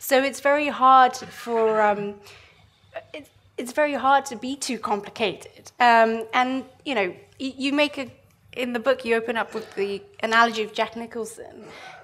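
A woman speaks at a moderate pace with high pitch and fairly even intonation. Her loudness swings widely. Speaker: financial journalist and moderator. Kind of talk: onstage interview and Q&A moderation. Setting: stage with audience. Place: stage. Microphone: headset.

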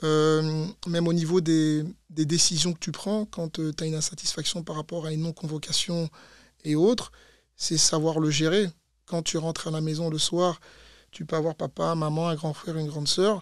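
In a monotone with flat intonation, a man with a fairly high voice talks at a moderate pace, the sound dry with no echo and the background quiet. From Belgium, Brussels. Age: 30s. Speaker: former footballer and fitness coach; fitness coach. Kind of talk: interview. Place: studio. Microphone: studio mic.

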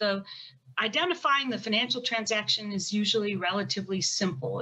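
A woman speaks at a moderate pace with an American accent. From United States. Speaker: federal prosecutor. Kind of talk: panel discussion. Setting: video call. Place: home room. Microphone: video call.

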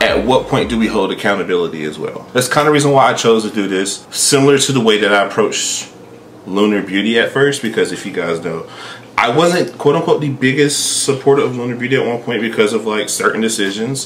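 At a fairly quick pace, a man talks against light background noise. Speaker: beauty creator. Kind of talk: casual vlog commentary. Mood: thoughtful, measured.

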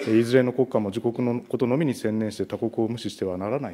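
Over light background noise, a man speaks very fast in a dark, mellow tone. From Japan. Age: 40s. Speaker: national legislator. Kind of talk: parliamentary questioning. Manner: formal. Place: meeting room. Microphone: podium.

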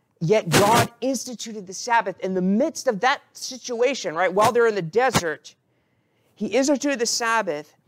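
A man speaks at a moderate pace with ordinary pitch variation. Noticeable background noise is present. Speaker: priest preaching. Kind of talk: sermon. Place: church. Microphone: podium.

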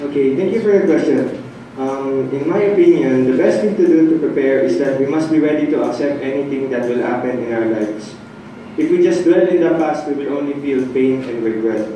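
A man's dark, mellow voice at medium pitch, fairly quick in pace, with ordinary pitch variation and audible room echo

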